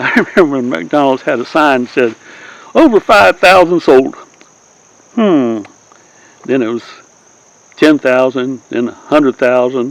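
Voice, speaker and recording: This man has a Southern US accent and a medium pitch. He leaves long, frequent pauses, with noticeable background noise behind him. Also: lively intonation, fairly slow pace. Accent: southern, acquired. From Southern California. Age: 80s+. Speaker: YouTuber, Navy veteran storyteller. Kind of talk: casual monologue. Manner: rambling, hesitant with fillers.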